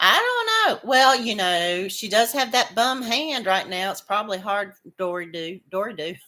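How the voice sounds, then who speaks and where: A loud woman's voice, bright and sharp in tone, with medium pitch and ordinary pitch variation, on a very clean recording with a silent background. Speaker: crochet livestream host. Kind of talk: casual chat with live viewers. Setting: livestream. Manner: halting, repeats words.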